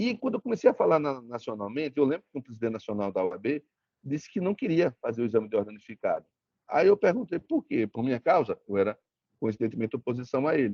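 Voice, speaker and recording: A man's medium-pitched voice in a strong northeastern Brazilian accent, very fast, with very wide pitch swings. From Brazil, Sergipe interior (Propriá). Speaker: lawyer, guest lecturer. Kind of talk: lecture. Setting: video call. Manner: repetitive false starts.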